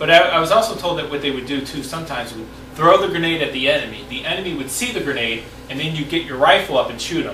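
Amid light background noise and audible room echo, a man talks at a very fast pace with big swings in loudness and ordinary pitch variation. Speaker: interviewer, reenactor. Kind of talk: interview questions. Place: home room. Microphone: camera far.

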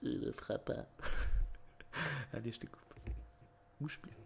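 A man speaks at a fairly slow pace. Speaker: ASMR roleplay hairdresser. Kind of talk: casual roleplay comedy banter.

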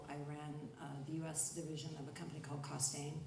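A woman with a very deep, low pitch talks fairly quickly, with audible room echo and light background noise. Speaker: panelist. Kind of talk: panel discussion answer. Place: stage.

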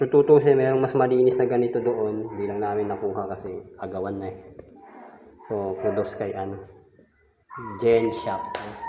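With big swings in loudness and long, frequent pauses, a man talks at a moderate pace in a fairly low pitch. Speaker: home DIY vlogger. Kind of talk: casual vlog narration. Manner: casual, chatty.

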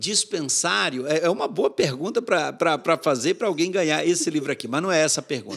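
Lively in intonation, a man with a fairly high pitch talks at a moderate pace. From sertão of Bahia, Brazil. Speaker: mission board executive director, pastor; pastor. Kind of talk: interview, storytelling. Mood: animated, warm storytelling. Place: studio. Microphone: studio mic.

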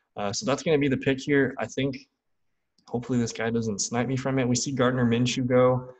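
A man with an American accent speaks at a fairly quick pace with fairly even intonation against a quiet background. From Wisconsin (Green Bay); Wisconsin. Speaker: fantasy football YouTuber. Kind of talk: live draft commentary; casual commentary during live draft. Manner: casual, filler-heavy. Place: home room. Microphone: studio mic.

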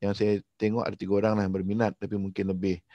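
Speaking at a very fast pace, a man with a fairly low pitch and a dark, mellow tone comes through a dry sound with no echo and a quiet background. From Malaysia. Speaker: coach and host; coach, host. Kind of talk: online briefing presentation. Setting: video call. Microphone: video call.

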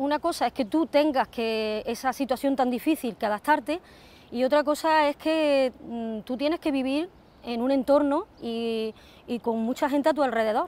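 A woman speaks at a moderate pace with a high pitch. Her pitch varies in an ordinary way, and the sound is dry with no echo. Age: 40s. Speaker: ostomy patient. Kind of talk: testimony. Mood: earnest, emotional recollection. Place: open country. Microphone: lapel.

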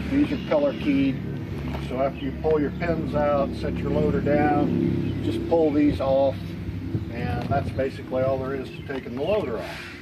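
A man speaks at a moderate pace against loud background noise. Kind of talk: product walk-around demonstration. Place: street.

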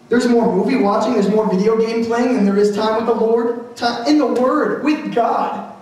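A man speaks in a passionate tone at an extremely high pitch, moderate pace and hardly any pauses, his intonation fairly even. His loudness stays very even amid strong room echo. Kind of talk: live motivational / sermon speech to a crowd. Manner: passionate, rallying, emphatic sermon. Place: stage.

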